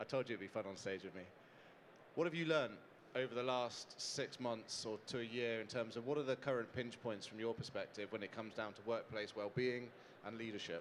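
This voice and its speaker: A man with a British accent speaks at a fairly quick pace, his medium-pitched voice showing ordinary pitch variation. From UK. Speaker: founder of a hospitality mental health charity. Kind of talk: panel talk on stage. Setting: stage with audience. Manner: animated.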